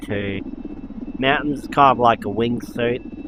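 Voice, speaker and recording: Noticeable background noise is present throughout. Over it, a man talks at a fairly slow pace. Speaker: gaming YouTuber. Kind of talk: gameplay commentary. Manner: casual, halting with restarts.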